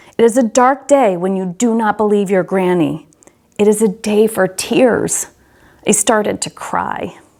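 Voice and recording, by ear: Natural-voiced reading aloud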